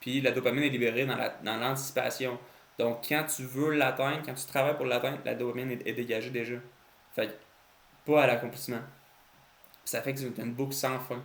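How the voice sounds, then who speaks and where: A man at a medium pitch speaks at a fairly quick pace in a flat, monotone way, with long, frequent pauses. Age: 20s. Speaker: entrepreneur. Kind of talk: casual talk to camera.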